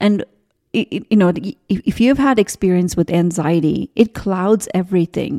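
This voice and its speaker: A woman speaks at a medium pitch and a moderate pace in a dark, mellow tone, with a dry, close sound, no echo, and a very clean recording over a silent background. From India. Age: 40s. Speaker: spiritual business coach. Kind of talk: solo podcast monologue. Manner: animated.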